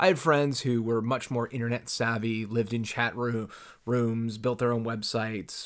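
On a very clean recording with a silent background, a man with an ordinary speaking voice talks at a moderate pace, medium in pitch with fairly even intonation. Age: 30s. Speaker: podcast host. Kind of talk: solo monologue podcast.

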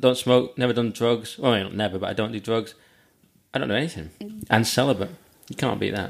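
Long, frequent pauses break up a man's very fast, medium-pitched speech in a Cumbrian accent. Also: ordinary pitch variation. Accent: Cumbrian northern English. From northern England, Lake District. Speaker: comedian. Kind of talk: casual chat.

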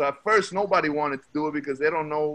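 Bright and sharp in tone, a man with a New York accent speaks at a fairly high pitch. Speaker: rapper. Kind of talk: casual chat.

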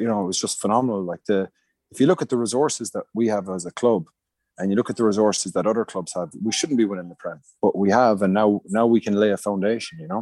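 Talking at a very fast pace, a man with a medium-pitched, dark, mellow voice shows ordinary pitch variation in a dry, close sound with no echo and a quiet background. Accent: Munster Irish. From Ireland, Munster. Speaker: rugby coach. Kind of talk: casual chat.

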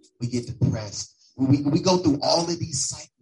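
Somewhat breathy, a man speaks at a moderate pace. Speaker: church leader. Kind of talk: sermon.

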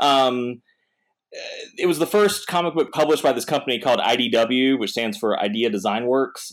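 A man with an American accent talks at a moderate pace, at a medium pitch, with ordinary pitch variation and a normal speaking voice. The recording is very clean, with a silent background. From North Carolina. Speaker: comic artist. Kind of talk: casual chat.

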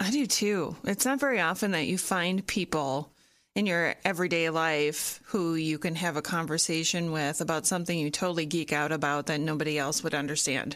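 A woman with an unremarkable speaking voice talks at a fairly quick pace with hardly any pauses, her pitch fairly low and its variation ordinary, her loudness very even, on a very clean recording with a silent background. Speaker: podcast host. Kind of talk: casual chat.

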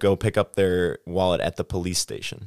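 A man with a Midwestern US accent, fairly low in pitch for a man, at a moderate pace, in a very clean recording with a silent background and a dry, close sound with no echo. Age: 20s. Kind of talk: casual chat.

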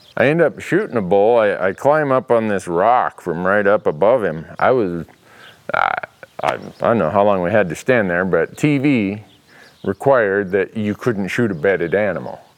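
A man with an Upper Midwest accent, fairly low in pitch, at a moderate pace with lively intonation. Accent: Upper Midwest American. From northern Minnesota. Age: 50s. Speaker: hunting show host. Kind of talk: storytelling monologue. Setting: in his workshop.

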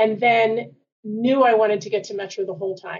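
An unremarkable speaking voice from a woman with an American accent, fairly high in pitch and fairly quick in pace. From Washington D.C. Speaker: university administrator. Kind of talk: interview.

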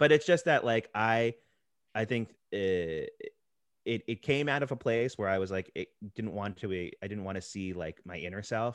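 Here is a man with a plain, everyday voice and an American accent, medium in pitch, with lively intonation at a moderate pace. The sound is dry and close with no echo, over a quiet background. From New Jersey (Princeton area). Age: 30s. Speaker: podcast co-host. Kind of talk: casual chat.

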